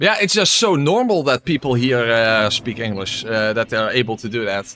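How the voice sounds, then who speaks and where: A medium-pitched man with a Dutch accent. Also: moderate pace. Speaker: gaming streamer. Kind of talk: live gameplay commentary. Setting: live stream. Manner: casual, hesitant with many fillers.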